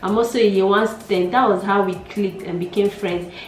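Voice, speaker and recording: A woman speaks with monotone, flat intonation. Noticeable background noise can be heard. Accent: Nigerian. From Nigeria. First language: Nigerian Pidgin. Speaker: YouTuber. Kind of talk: casual vlog chat.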